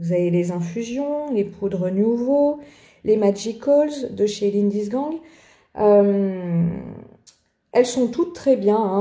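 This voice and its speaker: At a very slow pace, a woman with a strong French accent speaks in a dark, mellow, somewhat breathy tone, her medium pitch showing ordinary variation. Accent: strong French accent on English words. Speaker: art journaling youtuber. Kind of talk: tutorial, supplies presentation. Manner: hesitant, many filler sounds; casual, chatty.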